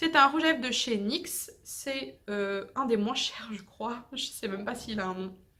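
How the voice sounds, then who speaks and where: Fairly slow, fairly high-pitched speech from a woman. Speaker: beauty youtuber. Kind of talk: casual product review vlog.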